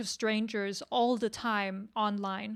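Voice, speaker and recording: A woman with a non-native accent, fairly high in pitch, at a very slow pace, in a very clean recording with a silent background. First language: not English. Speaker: webcomic creator. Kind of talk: workshop discussion. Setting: livestream. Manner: halting.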